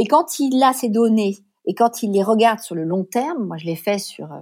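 Her tone is dark and mellow, and the woman's intonation is lively. She speaks at a fairly slow pace. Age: 50s. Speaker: responsible purchasing consultant. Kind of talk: interview.

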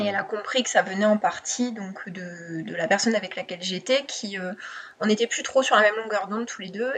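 With a plain, everyday voice, this woman keeps a medium pitch, fairly even intonation and a moderate pace. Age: 20s. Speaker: copywriter. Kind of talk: interview.

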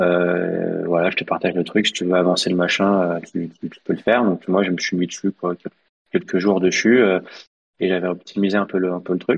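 A man with a very deep, low pitch speaks in a monotone, flat intonation. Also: moderate pace. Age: 30s. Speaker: product manager of a software plugin. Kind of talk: interview.

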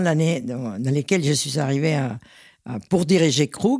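In a very clean recording with a silent background, the talking moves at a very slow pace. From Venezuela. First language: Spanish (speaking French). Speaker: champagne house president. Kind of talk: interview.

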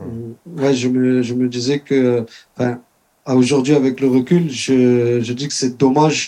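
The voice has a dark, mellow tone and flat, monotone intonation. It moves at a very slow pace. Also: man. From southern France, Spanish Gitano community. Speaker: guest giving testimony. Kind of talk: testimony. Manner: halting.

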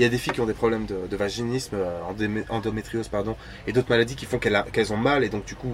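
Over music in the background, a man speaks very fast at a medium pitch. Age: 30s. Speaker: sex and relationships influencer. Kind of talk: casual chat. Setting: outdoors in a van at a party.

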